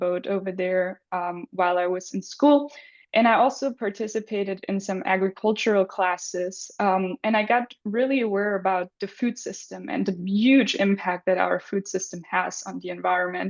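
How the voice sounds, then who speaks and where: A woman with a German accent and ordinary pitch variation. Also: hardly any pauses. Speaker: graduate student presenter. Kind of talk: presentation. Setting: video call.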